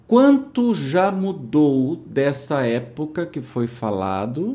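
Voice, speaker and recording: Audible room echo surrounds a man whose fairly high pitch swings very widely. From interior of São Paulo state, Brazil. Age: 50s. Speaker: spiritist study presenter. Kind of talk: religious study commentary, casual. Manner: informal, conversational.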